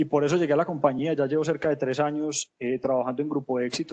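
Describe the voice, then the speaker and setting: The speaker talks at a very fast pace in a Medellín accent, with monotone, flat intonation. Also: man. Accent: Medellín (paisa). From Colombia, Medellín (paisa). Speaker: corporate sustainability manager. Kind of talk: webinar panel talk. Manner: hesitant, many fillers and repetitions.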